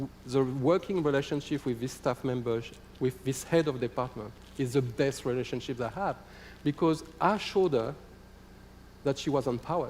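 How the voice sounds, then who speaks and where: In a French accent, a man speaks with a fairly high pitch. His pace is moderate and his pitch variation ordinary. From France. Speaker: football association executive. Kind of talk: conference presentation. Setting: conference hall.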